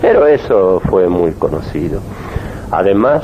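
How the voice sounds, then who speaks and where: A man speaks at a fairly slow pace with a very deep, low pitch and ordinary pitch variation, against noticeable background noise. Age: 70s. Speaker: gynecologist and politician. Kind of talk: radio interview. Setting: at his home office.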